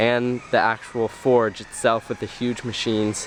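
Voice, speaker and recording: A man speaks at a fairly slow pace amid noticeable background noise. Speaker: travel vlogger / student. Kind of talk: travel vlog. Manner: hesitant, many fillers.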